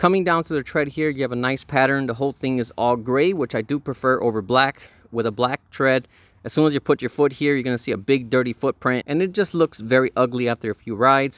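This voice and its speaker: A man talks at a very fast pace with ordinary pitch variation. The sound is dry with no echo, over a quiet background. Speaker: product reviewer. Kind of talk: product review commentary. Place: garden. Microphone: phone near.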